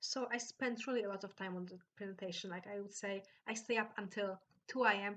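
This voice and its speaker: A woman at a medium pitch with a Polish accent, fairly quick and fairly even in intonation. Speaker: vlogger. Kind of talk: storytelling. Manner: halting.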